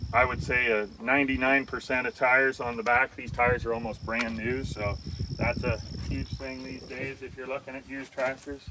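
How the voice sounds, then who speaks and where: With noticeable background noise behind him, a man speaks at a moderate pace and medium pitch, his intonation fairly even while his loudness swings widely. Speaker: auctioneer giving an equipment walk-through. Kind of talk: casual talk while walking through equipment. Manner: conversational, filler words.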